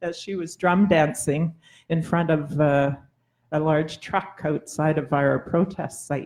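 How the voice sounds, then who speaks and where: Speaking very slowly in a Labrador accent, a woman uses a very deep, low pitch and fairly even intonation. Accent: Labrador Canadian English. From Labrador, Canada. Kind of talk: panel talk. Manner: halting.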